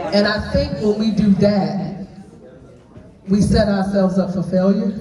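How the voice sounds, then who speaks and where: Fairly slow, monotone, flat delivery in a Southern US accent, with audible room echo and noticeable background noise. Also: woman, medium pitch for a woman. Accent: Southern country twang. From Florida, US South. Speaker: preacher. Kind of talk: group discussion at brunch event.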